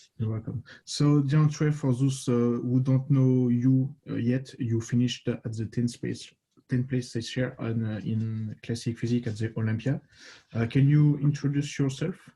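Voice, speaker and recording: A man's medium-pitched, somewhat breathy voice, dark and mellow in tone, at a moderate pace with fairly even intonation. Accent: French. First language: French. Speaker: podcast host and coach. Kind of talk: interview. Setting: podcast. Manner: halting.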